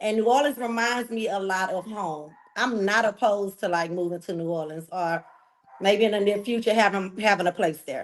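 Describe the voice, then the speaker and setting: Speaking with a Texan accent, a woman talks at a moderate pace and medium pitch with ordinary pitch variation. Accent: Texas country. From Texas, Galveston. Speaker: reality TV contestant. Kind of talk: interview.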